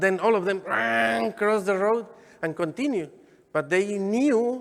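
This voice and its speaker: A man speaks with a strong Mexican accent. His intonation is lively. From Mexico, Michoacán. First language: Spanish. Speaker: deacon. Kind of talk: sermon. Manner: halting.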